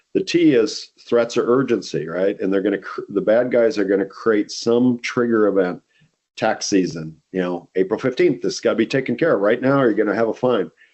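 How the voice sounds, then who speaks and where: A man with a medium pitch talks at a fairly quick pace with ordinary pitch variation, in an ordinary speaking voice. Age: 60s. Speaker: company CEO. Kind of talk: podcast interview. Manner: conversational with frequent fillers.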